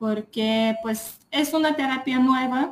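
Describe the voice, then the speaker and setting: A woman with a Lithuanian accent, somewhat breathy and very slow in pace. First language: Lithuanian (speaking Spanish). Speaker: psychologist. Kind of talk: casual chat. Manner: halting.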